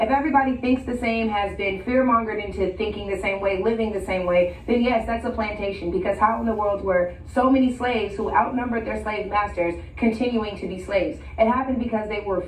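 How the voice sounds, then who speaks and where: Against noticeable background noise, a woman with an American accent talks at a fairly quick pace with hardly any pauses, her fairly high pitch showing ordinary variation. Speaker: political commentator. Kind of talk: TV call-in interview. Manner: articulate.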